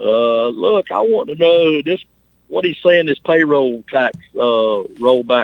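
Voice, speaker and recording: A man with a fairly high pitch and lively intonation, at a very slow pace. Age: 60s. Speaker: caller, state government employee. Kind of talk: call-in conversation. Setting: phone call.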